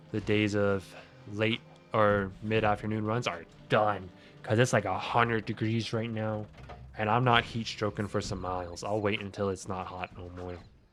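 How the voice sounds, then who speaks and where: A man speaks at a moderate pace in a fairly low, monotone, flat voice, with music in the background. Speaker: video game streamer. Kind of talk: casual chat. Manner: loud.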